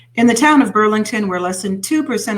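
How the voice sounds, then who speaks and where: A somewhat breathy woman's voice. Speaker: internet radio host. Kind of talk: reading news stories with comments.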